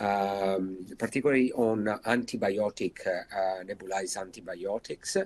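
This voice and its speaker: Fairly slow speech with an Italian accent. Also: man. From Italy. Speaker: intensive care doctor. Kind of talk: lecture. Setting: video webinar. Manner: hesitant, many fillers.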